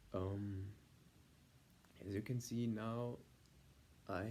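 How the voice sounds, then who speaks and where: Fairly even intonation in a man's dark, mellow tone. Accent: German. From Germany. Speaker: vlogger. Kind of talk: vlog monologue. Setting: filmed on iPad at home. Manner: halting, many fillers.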